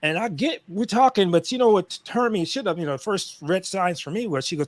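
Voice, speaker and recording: With very wide pitch swings, a man speaks at a fairly quick pace in a very clean recording with a silent background and a dry, close sound with no echo. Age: 50s. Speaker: live stream guest. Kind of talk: casual chat. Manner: animated.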